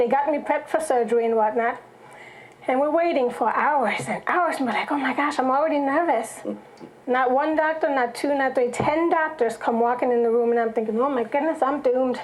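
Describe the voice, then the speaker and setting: Over noticeable background noise and audible room echo, a woman speaks at a fairly quick pace in a high pitch, with ordinary pitch variation and very even loudness. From Germany. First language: German. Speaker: songwriter and church singer. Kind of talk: testimony.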